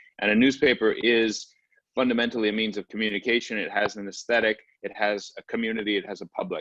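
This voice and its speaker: The sound is dry and close, with no echo. The speech moves at a very fast pace. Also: man, medium pitch for a man, fairly even intonation. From US, Brooklyn New York. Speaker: artist. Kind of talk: online panel presentation.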